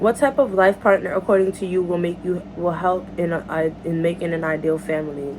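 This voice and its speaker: A woman talks at a medium speed, her pitch varying in an ordinary way, while noticeable noise sits behind her. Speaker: YouTuber. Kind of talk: casual Q&A vlog. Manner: casual, halting.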